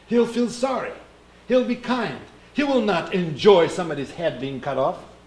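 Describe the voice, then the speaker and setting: A man with a Russian accent and very wide pitch swings, in a room with audible echo. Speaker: Orthodox priest giving a talk. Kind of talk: sermon-like talk. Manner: halting, searching for words.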